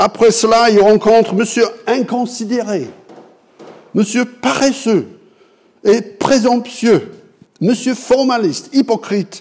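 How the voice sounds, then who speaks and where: Speech comes very slowly with long, frequent pauses and ordinary pitch variation. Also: man. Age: 60s. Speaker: pastor. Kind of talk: sermon.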